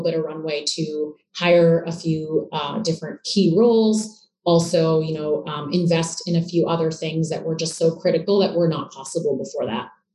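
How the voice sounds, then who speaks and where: In a Canadian accent, a woman with a plain, everyday voice and fairly low pitch speaks at a moderate pace with fairly even intonation. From Canada, Toronto. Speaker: startup co-founder. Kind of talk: interview.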